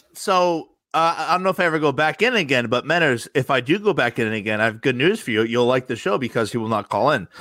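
A man with an American accent talks at a very fast pace with lively intonation on a very clean recording with a silent background. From New Jersey (Rumson). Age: 30s. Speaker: podcast guest, show caller. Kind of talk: casual chat.

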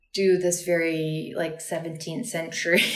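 Audible room echo surrounds a woman speaking with a fairly low pitch. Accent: American. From Texas (Austin). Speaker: dancer and choreographer. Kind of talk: casual chat.

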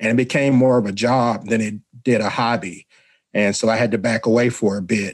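His accent is Southern US. The man keeps to a moderate pace. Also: dry, close sound with no echo. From Mississippi. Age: 50s. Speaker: radio show host. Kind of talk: casual chat.

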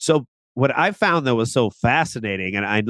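In a dry, close recording with no echo and a quiet background, a man with a normal speaking voice at medium pitch talks at a moderate pace with lively intonation. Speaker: podcast co-host. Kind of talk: casual chat.

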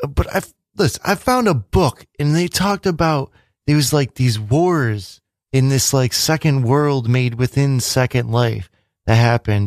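This man's voice has a medium pitch and lively intonation, with very even loudness and a dry, close sound with no echo. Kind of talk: relaxed co-host banter, teasing and domestic chit-chat on air. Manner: laid-back, wry, rambling and halting at times.

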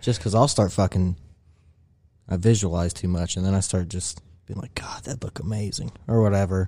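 Dark and mellow, somewhat breathy, a man's very deep, low voice moves at a fairly quick pace with ordinary pitch variation. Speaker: podcast host. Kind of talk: casual chat. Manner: casual, profane.

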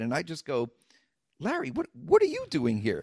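A man with a New York accent, recorded dry and close with no echo, very clean against a silent background. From the Bronx, New York. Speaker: comedian and actor. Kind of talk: casual chat. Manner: animated.

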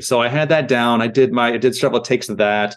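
With an American accent, a man speaks at a fairly quick pace in an ordinary speaking voice, with ordinary pitch variation against a quiet background. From US Midwest (Iowa and Missouri). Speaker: creature actor. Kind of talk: casual interview. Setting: video call.

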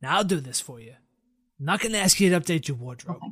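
A put-on character voice at a fairly quick pace, on a very clean recording with a silent background. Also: man, fairly high pitch for a man. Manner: calm, offering help.

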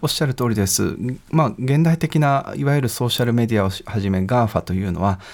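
Recorded very cleanly against a silent background, a man with an ordinary speaking voice talks at a fairly quick pace with lively intonation. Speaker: law professor. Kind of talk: expert interview. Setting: studio. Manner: formal.

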